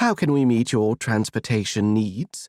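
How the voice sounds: Over a very clean recording with a silent background, a man puts on a character voice in an English accent, speaking at medium pitch and a moderate pace.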